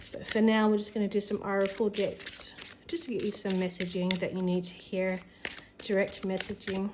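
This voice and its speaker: With fairly even intonation and a medium pitch, a woman talks against noticeable background noise. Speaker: tarot reader. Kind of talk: tarot reading. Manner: fast.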